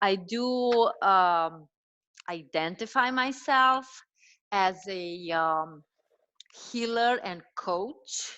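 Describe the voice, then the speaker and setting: This voice has a Romanian accent and lively intonation. The tone is bright and sharp, over a quiet background. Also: woman. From Romania, Transylvania. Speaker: dietitian and health coach. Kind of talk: casual interview conversation.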